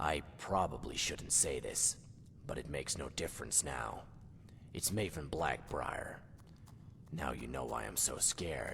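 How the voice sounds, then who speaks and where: Whispering in a put-on character voice at a moderate pace, the speaker leaves long, frequent pauses against clear background noise. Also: man. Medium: video game. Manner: scared, jumpy.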